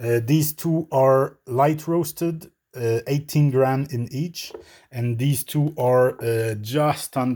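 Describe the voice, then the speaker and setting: Someone speaks very slowly in a French Canadian accent on a very clean recording with a silent background. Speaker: coffee equipment reviewer. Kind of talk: product review. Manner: hesitant, many fillers.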